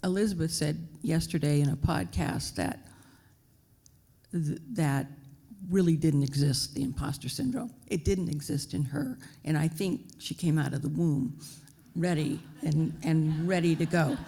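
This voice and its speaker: With vocal fry and a very deep, low pitch, a woman speaks at a fairly slow pace with long, frequent pauses, a dark, mellow tone, ordinary pitch variation, and audible room echo. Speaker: business executive, panelist. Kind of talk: panel discussion. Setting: stage with audience.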